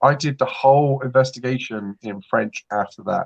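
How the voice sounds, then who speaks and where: A man with an English accent at a moderate pace, ordinary pitch variation, and a dry, close sound with no echo. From England. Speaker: paranormal investigator. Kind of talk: casual chat.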